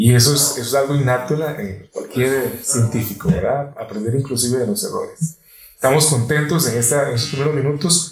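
A man with an unremarkable speaking voice talks at a fairly quick pace. His fairly high pitch shows ordinary variation. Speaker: podcast host. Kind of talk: interview.

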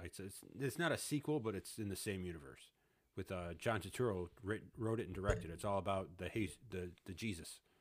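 A man with an unremarkable speaking voice, fairly low in pitch, at a fairly quick pace, in a very clean recording with a silent background. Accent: American. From Chicago, US Midwest. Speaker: guest, friend of host. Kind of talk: casual chat.

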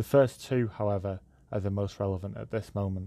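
With a British accent, a man speaks in a fairly low pitch and a dark, mellow tone, his intonation monotone and flat against a quiet background. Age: 20s. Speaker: podcast host. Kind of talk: monologue podcast. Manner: hesitant with fillers.

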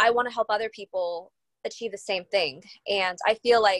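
In a dry, close sound with no echo, a woman uses an ordinary speaking voice at a medium pitch, with ordinary pitch variation and a moderate pace. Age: 30s. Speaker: podcast host and mindset coach. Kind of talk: casual chat.

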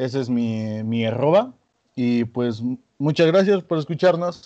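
A man speaks at a fairly slow pace with a Mexican accent, his dark, mellow tone carried by lively intonation over a quiet background. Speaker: podcast co-host. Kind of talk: casual chat.

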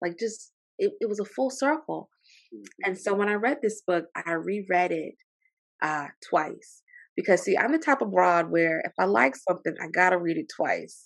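Over a quiet background, a woman at a medium pitch speaks at a moderate pace with vocal fry. Her tone is animated, and her pitch swings very widely. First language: French. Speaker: librarian and archivist, military veteran. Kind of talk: casual book discussion. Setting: remote call with outdoor noise.

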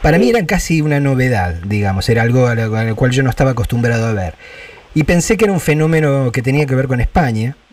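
Very fast speech from a man at medium pitch, lively intonation, noticeable background noise. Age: 50s. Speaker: radio host. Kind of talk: interview.

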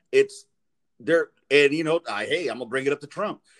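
With a Los Angeles accent, a man talks at a fairly quick pace and fairly high pitch in a dry, close sound with no echo. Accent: Los Angeles American English. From South Central Los Angeles. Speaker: podcaster, guest. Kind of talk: casual chat.

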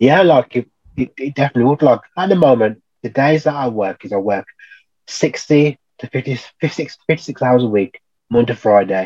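Recorded with a dry, close sound and no echo, a man speaks at medium pitch and a moderate pace, with lively intonation and a dark, mellow tone. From Birmingham, England. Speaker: electrical trainee. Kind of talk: casual interview. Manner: halting.

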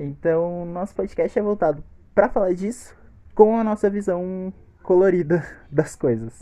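This man's voice sits high for a man, with ordinary pitch variation. He speaks at a fairly slow pace. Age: 20s. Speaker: podcast host. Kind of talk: casual chat.

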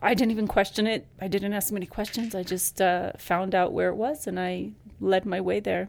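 A woman with an unremarkable speaking voice, ordinary pitch variation and an American accent. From Ecuador and Leadville, Colorado. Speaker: shaman. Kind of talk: interview. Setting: studio.

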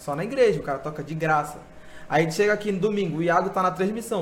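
A man's ordinary pitch variation is heard with audible room echo around it. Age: 20s. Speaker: church speaker and thinker. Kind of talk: casual interview chat.

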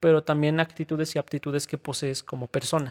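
In a dry, close sound with no echo, a man talks at a fairly quick pace with fairly even intonation. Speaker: podcast co-host. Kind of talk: casual chat.

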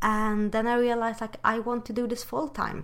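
A woman with a Swedish accent. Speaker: podcast co-host. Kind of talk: casual chat. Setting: call. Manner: animated.

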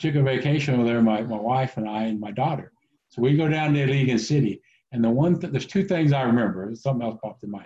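A man with an American accent talks very fast, his tone dark and mellow and somewhat breathy. His loudness swings widely while his pitch varies in an ordinary way. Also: medium pitch for a man. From Oklahoma. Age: 50s. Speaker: IT consultant. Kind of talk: casual interview. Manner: halting, many fillers.

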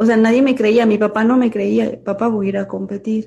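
A woman with a fairly high pitch and a dark, mellow tone speaks at a moderate pace, sounding somewhat breathy. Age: 30s. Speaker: amateur bodybuilder and nurse. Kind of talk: interview.

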